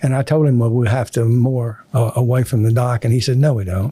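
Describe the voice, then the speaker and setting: A man's somewhat breathy, dark and mellow voice at medium pitch, with fairly even intonation. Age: 80s+. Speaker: retired business executive and Navy veteran. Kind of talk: interview storytelling. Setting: podcast studio. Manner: halting, many fillers.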